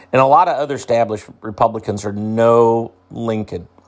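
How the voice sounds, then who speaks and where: A man with a Midwestern US accent, medium pitch, moderate pace, on a very clean recording with a silent background. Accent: US Midwest. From central Illinois. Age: 60s. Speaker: agriculture podcaster. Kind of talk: solo commentary podcast. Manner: halting, many repetitions.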